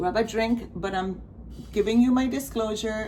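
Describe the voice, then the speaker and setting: With audible room echo, a woman mumbles at a fairly slow pace, her medium pitch showing ordinary variation. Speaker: crafting vlogger. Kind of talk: casual chat. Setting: at home, not usual spot. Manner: mumbling; rambling, halting.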